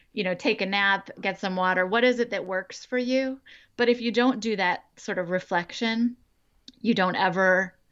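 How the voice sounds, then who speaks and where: This woman has an ordinary speaking voice at medium pitch, talking at a moderate pace with ordinary pitch variation against a quiet background. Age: 40s. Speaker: inclusive education consultant, former professor. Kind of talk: interview conversation.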